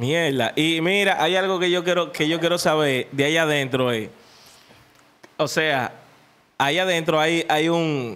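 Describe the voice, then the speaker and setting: A man speaks at a fairly high pitch in a bright, sharp tone with ordinary pitch variation. His pace is fairly slow and his loudness very even. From Dominican Republic. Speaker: podcast host; podcast host interviewer. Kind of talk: casual interview. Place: studio. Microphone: studio mic.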